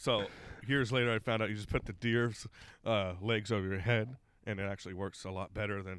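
A man with an ordinary speaking voice talks fairly quickly at a fairly low pitch with fairly even intonation. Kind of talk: casual banter. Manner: crude, joking.

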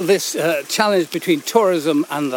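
Noticeable background noise runs under a voice with ordinary pitch variation. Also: man. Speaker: author and walk guide. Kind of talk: conversational guided walk, interviewer. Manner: articulate, formal, descriptive.

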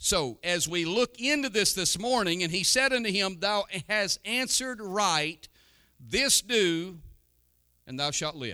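In a raised, projected voice, a man speaks at a fairly slow pace with a high pitch, a bright, sharp tone and lively intonation. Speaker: pastor. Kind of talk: sermon. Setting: church. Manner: warm, earnest pulpit preaching with congregational call-and-response ("Amen?").

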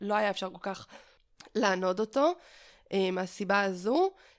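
A plain, everyday voice from a woman at medium pitch and moderate pace, on a very clean recording with a silent background. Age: 30s. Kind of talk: interview. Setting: at home.

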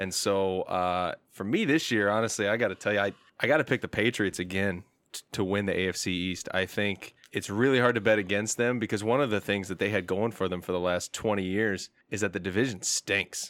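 A man's ordinary speaking voice with an American accent, fairly low in pitch, fairly even intonation, fairly quick pace and hardly any pauses. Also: very clean recording, silent background. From Indiana. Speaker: sports fan and football commentator. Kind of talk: casual chat.

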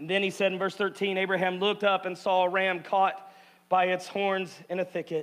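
This man has a high pitch and a monotone, flat intonation. He talks at a moderate pace. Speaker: pastor. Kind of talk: rousing call-and-response sermon leading the congregation in a spoken declaration. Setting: church stage before live congregation. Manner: bold, commanding exhortation urging listeners to declare aloud; punchy, repetitive short imperatives building intensity.

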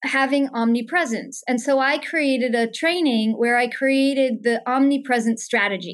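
Against a quiet background, a woman speaks in a high pitch at a moderate pace with ordinary pitch variation. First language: German. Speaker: business consultant and life strategist. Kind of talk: interview conversation.

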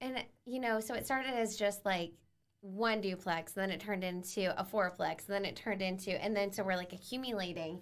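A woman's unremarkable speaking voice at medium pitch, with an American accent, fairly even intonation, and a fairly quick pace. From Bryan, Ohio. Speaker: teacher and real estate investor. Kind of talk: casual interview chat.

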